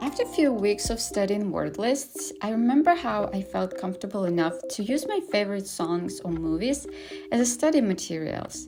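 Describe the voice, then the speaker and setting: The woman has a non-native accent and talks at a moderate pace. Background noise is noticeable. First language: not English. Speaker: language-learning vlogger. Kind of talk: tutorial vlog.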